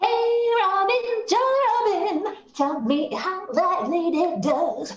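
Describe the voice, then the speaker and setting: A female-sounding voice in a put-on character voice speaks at an extremely high pitch and a very slow pace, with slight echo. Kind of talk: Shakespearean stage acting. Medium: stage play. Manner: playful, teasing.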